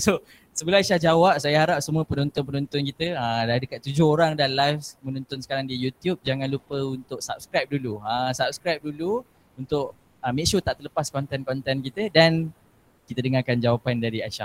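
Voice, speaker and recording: A man talks at a fairly quick pace with a fairly high pitch and ordinary pitch variation, in an ordinary speaking voice. The sound is dry and close, with no echo. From Malaysia, Perak. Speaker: talk show host. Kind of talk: casual talk show chat.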